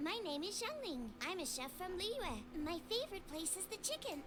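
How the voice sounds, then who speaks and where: Squeaky and extremely high-pitched, a put-on character voice moves at a moderate pace over loud background noise. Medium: video game.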